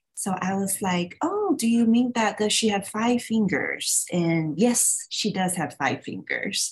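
A somewhat breathy woman speaks at a fairly slow pace. Her intonation is lively. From Taiwan. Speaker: artist. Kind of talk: casual interview.

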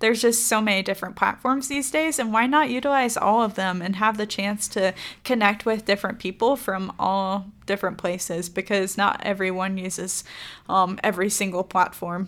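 In a very clean recording with a silent background, a woman with a normal speaking voice talks at medium pitch and a moderate pace with ordinary pitch variation. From Florida. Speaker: podcast co-host, magazine staff. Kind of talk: casual chat.

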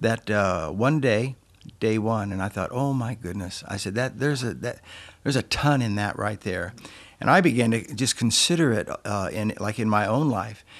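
The speaker has a southwestern US accent. The pace is moderate. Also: man, medium pitch for a man, ordinary pitch variation, very clean recording, silent background. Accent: American, southwestern. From Yuma, Arizona, US. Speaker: senior pastor. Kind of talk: casual interview.

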